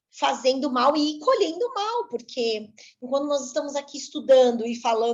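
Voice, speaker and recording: Her delivery is fairly slow. The voice belongs to a woman. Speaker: spiritist study instructor. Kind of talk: lecture.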